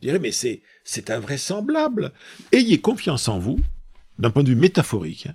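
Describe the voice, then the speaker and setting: On a very clean recording with a silent background, a man with a fairly high voice and vocal fry makes very wide pitch swings and big swings in loudness, leaving long, frequent pauses. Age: 60s. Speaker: business school professor and public speaker. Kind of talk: casual interview. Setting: office. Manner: hesitant, repeats words.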